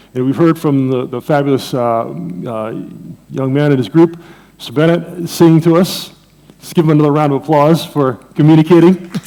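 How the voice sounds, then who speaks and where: A man speaks in a normal speaking voice with an American accent, his fairly high pitch moving with ordinary variation at a moderate pace while his loudness swings widely. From Jamaica, Saint Mary. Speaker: economics professor. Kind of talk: conference lecture. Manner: conversational, with fillers.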